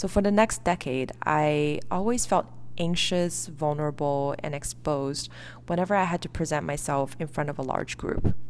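A woman's very deep, low voice with a Chinese accent at a moderate pace. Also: ordinary pitch variation. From China, then US from age 11. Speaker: podcast host. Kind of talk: reflective solo monologue.

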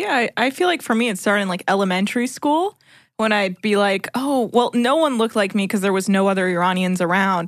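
Over a quiet background, a woman with medium pitch, ordinary pitch variation and very even loudness talks at a fairly quick pace in an ordinary speaking voice. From US, Iranian immigrant family. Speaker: podcast host.

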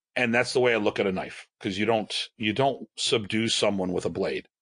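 A man talks at a moderate pace with medium pitch and ordinary pitch variation, in a normal speaking voice. The background is quiet. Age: 50s. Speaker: martial arts instructor. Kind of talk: casual chat.

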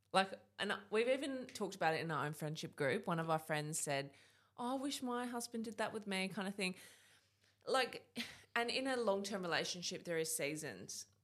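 A woman at medium pitch with an Australian accent, moderate pace and very wide pitch swings. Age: 20s. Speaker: podcast host. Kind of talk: interview. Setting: studio.

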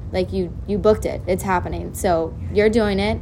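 A woman with an animated tone at a moderate pace, with noticeable background noise. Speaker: friend. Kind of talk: casual chat, pep talk. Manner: animated, profane.

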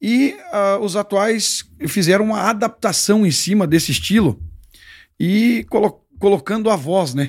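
A man talks in a high-pitched voice. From southwest Paraná, Brazil. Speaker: singer. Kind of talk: casual chat.

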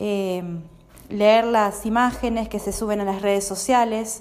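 A woman at a very slow pace, fairly high in pitch, with fairly even intonation and audible room echo. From Argentina, Santa Fe province. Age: 40s. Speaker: blind guest, translator. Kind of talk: interview. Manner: hesitant, frequent fillers.

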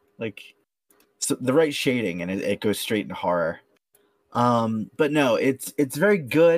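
With an unremarkable speaking voice, a man talks at a fairly slow pace with lively intonation in a dry, close sound with no echo. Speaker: podcast host. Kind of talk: casual banter podcast chat.

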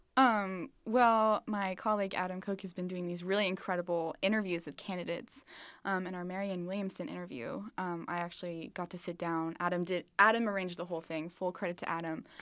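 A woman with a normal speaking voice and an American accent, medium pitch, fairly quick pace, fairly even intonation and hardly any pauses, on a very clean recording with a silent background. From southern Missouri, Springfield. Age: 20s. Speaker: college student, social media manager. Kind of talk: casual interview. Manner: filler-heavy, laughs often.

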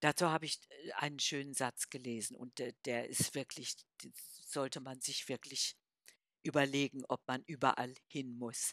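A woman speaks in a very deep, low voice with a flat, monotone delivery, leaving long and frequent pauses, and the sound is dry and close with no echo. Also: moderate pace. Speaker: podcast co-host, grandmother. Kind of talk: casual chat.

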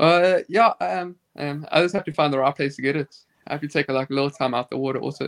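Speaking at a very fast pace in a South African accent, a man has a fairly high pitch, ordinary pitch variation and a dry, close sound with no echo. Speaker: competitive swimmer. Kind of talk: casual chat. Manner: halting.

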